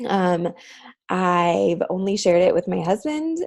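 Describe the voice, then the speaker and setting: A woman's normal speaking voice sits at medium pitch and shows ordinary pitch variation. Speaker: vlogger, mother sharing parenting story. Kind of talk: personal testimony to camera. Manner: casual, filler-heavy.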